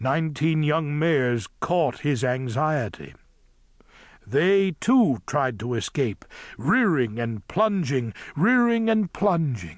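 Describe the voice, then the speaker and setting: A man speaks very slowly at a fairly high pitch. His pitch swings very widely against a quiet background. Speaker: audiobook narrator. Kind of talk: audiobook narration, dramatic scripted reading of a children's adventure. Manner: vivid, dramatic, building tension with rhythmic delivery.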